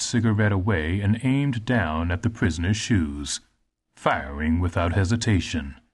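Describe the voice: In a quiet setting, a text is simply read out loud.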